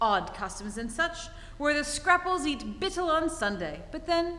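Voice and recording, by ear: Putting on a character voice, a woman speaks at a moderate pace in a high, bright, sharp tone with big pitch swings.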